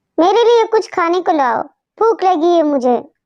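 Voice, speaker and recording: A female-sounding, cartoonish character voice runs at a moderate pace with extremely high pitch. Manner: commanding.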